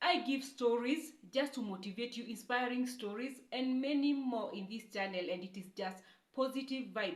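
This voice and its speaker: A woman's high voice with a Kenyan accent, ordinary pitch variation and a moderate pace. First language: Kikuyu. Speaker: YouTuber. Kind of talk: testimony. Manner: halting.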